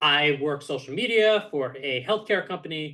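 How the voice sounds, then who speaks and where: This man has a fairly high pitch and a bright, sharp tone. He talks at a moderate pace with ordinary pitch variation. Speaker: esports interviewer and content creator. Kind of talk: unscripted personal update to camera. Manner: occasional stutter.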